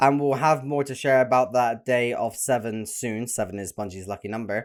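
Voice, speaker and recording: On a very clean recording with a silent background, a man with a British accent speaks at a fairly quick pace and medium pitch. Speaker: gaming YouTuber. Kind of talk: reaction video reading news aloud. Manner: stuttering, hurried.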